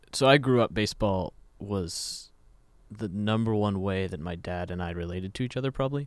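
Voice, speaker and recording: A man with an American accent and an ordinary speaking voice talks at a fairly quick pace, his fairly low pitch varying in an ordinary way, in a very clean recording with a silent background. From Kansas. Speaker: baseball fan guest. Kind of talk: casual sports chat.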